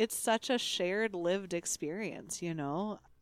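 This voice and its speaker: Heard in a very clean recording with a silent background, a normal speaking voice moves at a fairly slow pace. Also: woman. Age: 30s. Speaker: podcast co-host. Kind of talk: casual chat.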